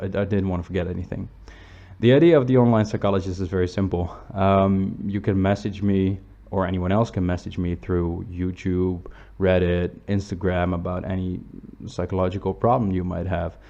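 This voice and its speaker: At a moderate pace, a man speaks with a very deep, low pitch, a dark, mellow tone and fairly even intonation. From Netherlands. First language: Dutch. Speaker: psychology student giving online advice. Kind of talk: channel introduction read from notes. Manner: casual with fillers and hesitations.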